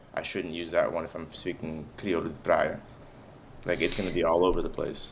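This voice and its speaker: A man speaks fairly quickly with an American accent. Room echo is audible. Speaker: podcast co-host. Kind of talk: casual conversation.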